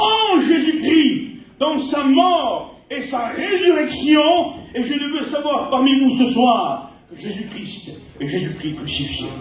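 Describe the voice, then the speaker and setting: Over noticeable background noise and audible room echo, a man talks at a very slow pace in an extremely high pitch, his intonation lively and his loudness swinging widely. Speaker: pastor. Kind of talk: sermon.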